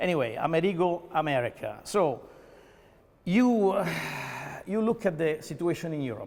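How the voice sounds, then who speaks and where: A man with an Italian accent and a high pitch uses lively intonation at a moderate pace, with long, frequent pauses. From Italy. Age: 50s. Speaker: mayoral candidate. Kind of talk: interview. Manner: halting, with many fillers and repeats; animated.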